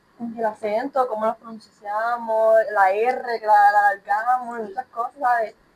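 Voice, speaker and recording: Fairly slow, flat, monotone speech from a woman with a fairly high pitch and hardly any pauses. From Puerto Rico. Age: young. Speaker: student podcast host. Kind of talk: casual discussion; reading aloud.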